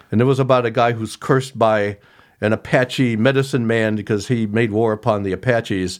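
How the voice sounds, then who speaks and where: Speaking at a fairly quick pace with fairly even intonation, a man uses an ordinary speaking voice at a medium pitch, in a very clean recording with a silent background. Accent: American. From rural Ohio. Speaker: author. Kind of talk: casual interview.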